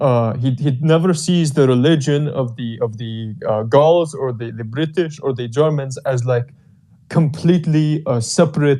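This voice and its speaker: With a dark, mellow tone, a man talks at a moderate pace and with ordinary pitch variation. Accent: Albanian. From Albania. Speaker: discussion participant. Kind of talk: casual discussion.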